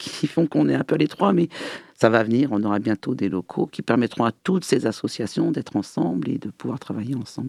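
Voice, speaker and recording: With vocal fry and lively intonation, a man of medium pitch talks at a fairly quick pace in a dry, close sound with no echo. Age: 60s. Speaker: LGBT association president. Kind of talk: radio interview.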